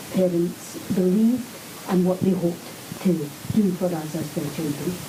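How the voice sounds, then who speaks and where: Noticeable background noise runs under the speech. Audible room echo can be heard as well. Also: woman. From Scotland, Glasgow. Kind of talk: answering pupils' questions in a school. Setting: school classroom.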